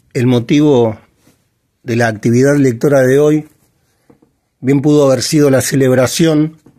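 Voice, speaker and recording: A man speaks at a fairly slow pace in a medium pitch. His tone is dark and mellow, with fairly even intonation. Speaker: literature reader and commentator. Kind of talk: literary reading with commentary. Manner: hesitant, stammering at times.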